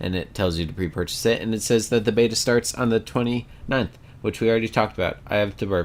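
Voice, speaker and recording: A man talks at a fairly quick pace with a medium pitch. The recording is very clean, with a silent background. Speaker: podcast host. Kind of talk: casual chat. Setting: voice chat, recording alone.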